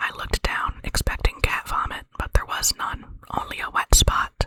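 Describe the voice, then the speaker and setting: The speaker is whispering. The pace is moderate. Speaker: ASMR creator reading own dream stories. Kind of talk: whispered short story reading. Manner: whispered, soft.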